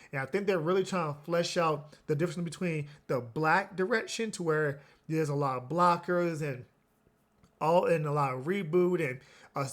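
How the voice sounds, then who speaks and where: A man with a normal speaking voice talks at a fairly high pitch and a moderate pace with ordinary pitch variation. The recording is very clean, with a silent background. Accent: American. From US Midwest, Chicago. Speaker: trading card game YouTuber. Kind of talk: market commentary video. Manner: casual, some filler and restarts.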